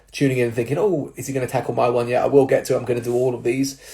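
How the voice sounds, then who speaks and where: Somewhat breathy, the man's voice has a medium pitch and a dark, mellow tone. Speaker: personal trainer and jiu-jitsu coach. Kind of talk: casual advice talk to followers. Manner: casual, many fillers.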